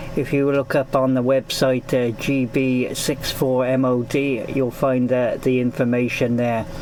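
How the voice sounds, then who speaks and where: Speaking fairly slowly with a Gloucestershire accent, a man talks at a medium pitch over noticeable background noise. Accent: Gloucestershire, Forest of Dean. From Gloucestershire, England (Newent). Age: 50s. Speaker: amateur radio operator. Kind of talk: ham radio contact. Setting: amateur radio transmission. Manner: hesitant, many fillers.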